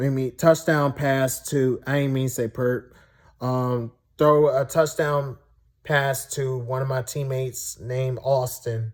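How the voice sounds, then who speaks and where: A somewhat breathy man's voice at medium pitch, very slow pace and fairly even intonation. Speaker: Special Olympics football player and vlogger. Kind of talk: casual vlog monologue. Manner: halting, self-correcting.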